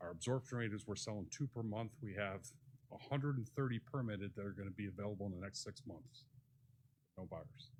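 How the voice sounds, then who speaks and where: A man speaks very fast in a fairly low, somewhat breathy voice with ordinary pitch variation. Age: 60s. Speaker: real estate developer speaking at public meeting. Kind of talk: public comment at city commission workshop.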